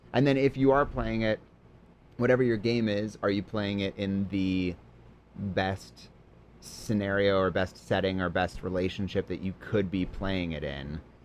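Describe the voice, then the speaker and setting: The speech is mumbled, with ordinary pitch variation. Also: man, fairly low pitch for a man, moderate pace. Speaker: improv comedian. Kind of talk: casual chat. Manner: mumbling.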